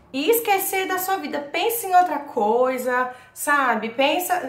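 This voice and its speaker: A woman is speaking with audible room echo. Noticeable background noise can be heard as well. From Brazil, São Paulo. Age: 20s. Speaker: vlogger. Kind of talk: casual vlog, personal experience and tips. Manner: talkative, chatty.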